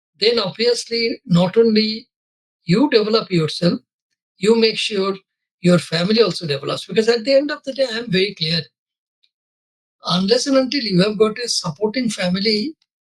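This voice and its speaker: A man with a Bengali accent speaks at a high pitch, with long, frequent pauses. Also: ordinary pitch variation, moderate pace. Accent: Bengali Indian English, unchanged. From India, Bengal. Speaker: corporate lawyer. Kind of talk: interview. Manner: hesitant fillers.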